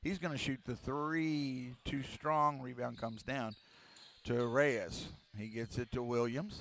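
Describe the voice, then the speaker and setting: A man speaks at a very slow pace, his pitch varying in an ordinary way. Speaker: play-by-play sports broadcaster. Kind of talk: live commentary. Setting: high school gymnasium with crowd.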